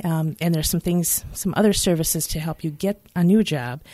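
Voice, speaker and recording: On a very clean recording with a silent background, a woman talks at a moderate pace with ordinary pitch variation. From Michigan. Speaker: nonprofit executive, social worker. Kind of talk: interview. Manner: hesitant with fillers.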